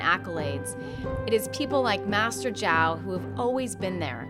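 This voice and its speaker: Moderate-paced speech over background music. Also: woman. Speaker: TV documentary host. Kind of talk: documentary narration.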